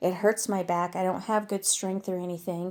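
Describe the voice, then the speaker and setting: On a very clean recording with no background sound, a woman talks at a mid-range pitch. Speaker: pet vlogger. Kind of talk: casual vlog. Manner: loud.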